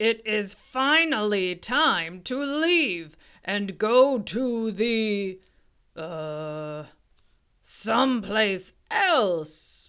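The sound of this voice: A loud, booming put-on character voice, fairly high in pitch and very slow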